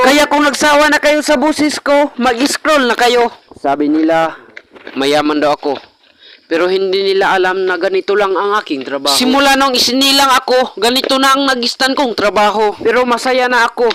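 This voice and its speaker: Lively intonation and very even loudness carry a fairly quick delivery over noticeable background noise. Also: man. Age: young. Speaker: vlogger. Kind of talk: casual vlog narration. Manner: playful.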